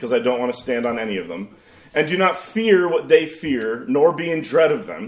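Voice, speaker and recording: With some vocal fry, a man speaks at a moderate pace. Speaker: pastor. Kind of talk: sermon. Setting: church.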